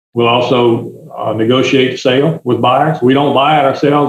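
Medium in pitch, a man speaks with a Louisiana accent and fairly even intonation. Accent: US South, Louisiana. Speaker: forester and land broker. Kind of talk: interview answers.

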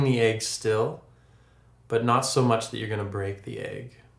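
At a moderate pace, a somewhat breathy voice carries audible room echo. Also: man. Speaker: yoga instructor. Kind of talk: tutorial. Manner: calm, instructive. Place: home room.

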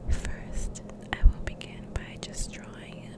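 A whisper at a very slow pace, with noticeable noise in the background. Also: woman. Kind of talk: ASMR art tutorial. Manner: whispered.

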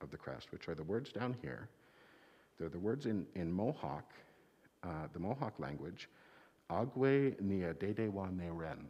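A man's very deep, low voice with vocal fry, very wide pitch swings, a fairly slow pace and long, frequent pauses. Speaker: minister. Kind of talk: children's time talk. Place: church.

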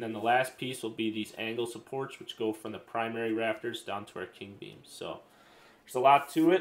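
At a fairly quick pace, a man speaks with ordinary pitch variation. His loudness shows big swings. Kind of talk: casual explanation. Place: workshop. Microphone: camera far.

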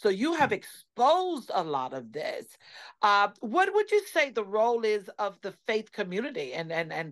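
A fairly high-pitched woman at a moderate pace, very wide pitch swings, quiet background. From US South, Savannah, Georgia; Georgia. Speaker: radio host. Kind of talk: radio interview. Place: home room. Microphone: video call.

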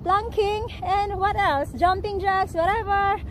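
Over light background noise, a woman speaks very slowly at an extremely high pitch, the sound dry with no echo. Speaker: fitness vlogger. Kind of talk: casual vlog chat. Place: garden.

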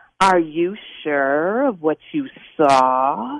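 A put-on character voice at middle pitch, hissing and sinister in tone. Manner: sinister, insinuating.

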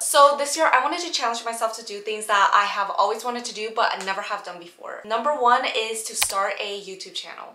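Over light background noise and audible room echo, a woman talks at a fairly quick pace with hardly any pauses, ordinary pitch variation and big swings in loudness. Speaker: travel vlogger. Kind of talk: casual vlog chat. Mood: excited, nervous about first video. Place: home room.

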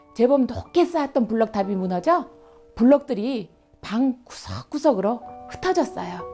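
Over background music, a woman speaks at a moderate pace. Her voice is fairly high, with very wide pitch swings. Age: old. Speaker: children's storyteller. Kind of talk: read story for children. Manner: gentle, friendly.

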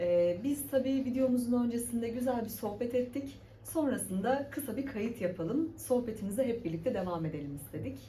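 A woman's fairly high pitch with lively intonation, at a moderate pace with hardly any pauses, against noticeable background noise. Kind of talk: interviewer, casual talk to camera.

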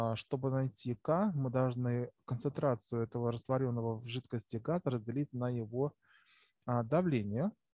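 A man is talking here. His voice falls at a medium pitch. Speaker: chemistry teacher. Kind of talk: lecture. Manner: halting. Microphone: poor recording quality.

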